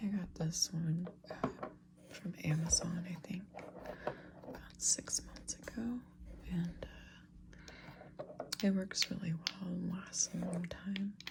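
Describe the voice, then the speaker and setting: Soft-spoken, a man talks at a very slow pace with long, frequent pauses over noticeable background noise. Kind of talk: ASMR soft-spoken unboxing and show and tell.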